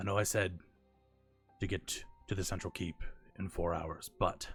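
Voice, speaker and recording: Over faint music in the background, a man uses a put-on character voice, very deep and low, with monotone, flat intonation at a moderate pace. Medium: actual play. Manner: calm, stoic.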